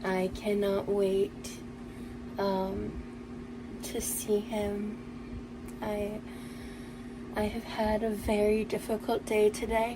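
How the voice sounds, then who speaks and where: A breathy put-on character voice at a very slow pace, with long, frequent pauses and noticeable background noise. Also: woman, medium pitch for a woman. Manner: wistful.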